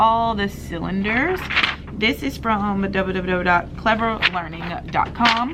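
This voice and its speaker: A woman with ordinary pitch variation, amid audible room echo and noticeable background noise. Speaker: pre-k teacher and vlogger. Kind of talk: casual vlog talk. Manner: loud.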